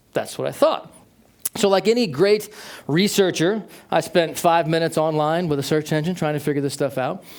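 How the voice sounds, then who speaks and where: A man talks at a fairly quick pace in a fairly high voice. His pitch varies in an ordinary way. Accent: American. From United States. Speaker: tech company manager, keynote speaker. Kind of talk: keynote talk.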